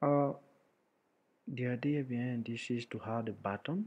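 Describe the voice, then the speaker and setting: A man talks at a fairly slow pace. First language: French. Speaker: programming tutorial maker. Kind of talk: tutorial. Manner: halting, many fillers.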